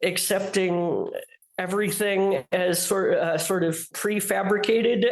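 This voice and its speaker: A woman speaks at a very slow pace with a medium pitch. Her intonation stays fairly even, and room echo is audible. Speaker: fantasy author. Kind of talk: interview. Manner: halting, many fillers.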